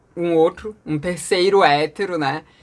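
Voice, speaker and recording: The recording is very clean, with a silent background. A woman speaks at a fairly low pitch. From Brasília, Brazil. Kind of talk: casual storytelling vlog. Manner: animated.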